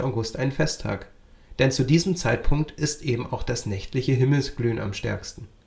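A man's somewhat breathy voice at medium pitch. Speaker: podcast host. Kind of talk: scripted informative presenting. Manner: clear, lively, explanatory.

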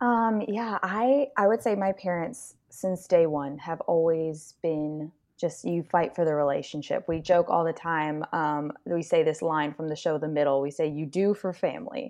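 With an American accent and an ordinary speaking voice, a woman pitched fairly low talks at a moderate pace with lively intonation and hardly any pauses, against a quiet background. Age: 20s. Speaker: zoo intern and waitress. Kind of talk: casual chat.

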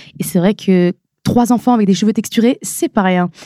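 A woman speaks with a fairly high pitch and a dark, mellow tone, her pitch varying in an ordinary way, in a dry, close sound with no echo. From northern France (Nord-Pas-de-Calais). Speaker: beauty influencer. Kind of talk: podcast interview.

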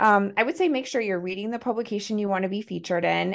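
Against a quiet background, a woman with an American accent speaks at a fairly quick pace in an unremarkable speaking voice, her pitch medium with ordinary variation. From Montana, US. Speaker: writer and PR strategist. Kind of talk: podcast interview.

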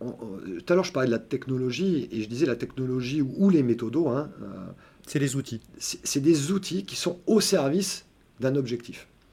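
A man's medium-pitched, somewhat breathy voice with a dark, mellow tone, lively intonation and a moderate pace. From southern France (Montpellier). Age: 50s. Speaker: software developer. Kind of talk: interview.

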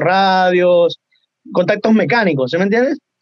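The voice is a man's, pitched high. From Ecuador. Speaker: music producer and singer. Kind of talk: casual chat.

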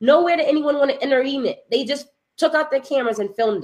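A woman speaks in an animated tone with a high pitch. Her pitch variation is ordinary. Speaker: podcast host. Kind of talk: casual chat. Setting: live stream.

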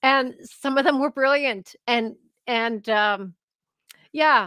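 The tone is clear and smooth, yet also bright and sharp, with lively intonation. The sound is dry and close, with no echo. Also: woman.

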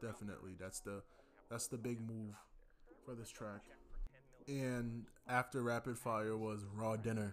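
Medium pitch from a man, fairly slow and monotone, with flat intonation, long, frequent pauses and music in the background. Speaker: music podcast host. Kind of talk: solo podcast monologue. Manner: casual, conversational.

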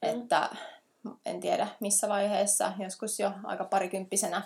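Very slowly, a woman speaks at a medium pitch on a very clean recording with a silent background. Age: 30s. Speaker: ultra trail runner and animal care teacher. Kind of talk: casual interview.

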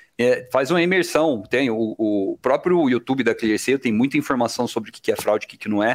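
On a very clean recording with a silent background, a man in a normal speaking voice talks at medium pitch and a fairly quick pace, with ordinary pitch variation and hardly any pauses. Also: dry, close sound with no echo. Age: 30s. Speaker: IT development manager. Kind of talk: casual interview.

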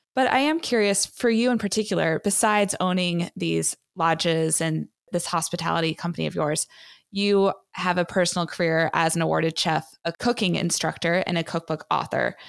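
A woman with a normal speaking voice talks at a fairly low pitch with ordinary pitch variation and very even loudness. The sound is dry and close with no echo, in a very clean recording with a silent background. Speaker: podcast host. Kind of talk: interview, scripted intro. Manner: warm, upbeat.

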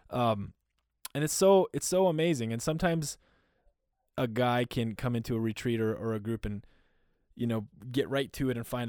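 A very clean recording with a silent background captures an unremarkable speaking voice with an American accent and ordinary pitch variation. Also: man. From US Upper Midwest (North Dakota, Minnesota). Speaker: men's community founder. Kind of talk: casual interview.

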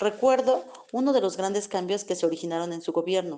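At a fairly quick pace, a woman with a fairly low voice and a dark, mellow tone speaks with ordinary pitch variation. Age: 40s. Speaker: student's mother. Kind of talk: testimony. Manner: formal.

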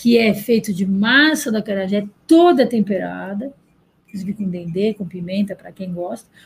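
Somewhat breathy, a woman at medium pitch speaks at a moderate pace with ordinary pitch variation and big swings in loudness. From Bahia, Brazil. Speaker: restaurant owner. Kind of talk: interview.

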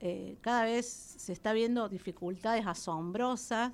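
A woman with an unremarkable speaking voice, fairly high in pitch and fairly slow, with fairly even intonation, on a very clean recording with a silent background. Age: 40s. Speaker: gymnast and coach. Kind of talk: radio interview. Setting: radio studio.

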